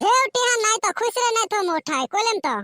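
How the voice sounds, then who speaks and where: This cartoonish character voice is squeaky and extremely high in pitch. It moves along at a fairly quick pace. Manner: impatient and brusque.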